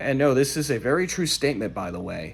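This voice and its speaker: A man talks at a medium pitch. His voice has vocal fry. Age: 20s. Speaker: vlogger and car wash worker. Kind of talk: casual vlog monologue.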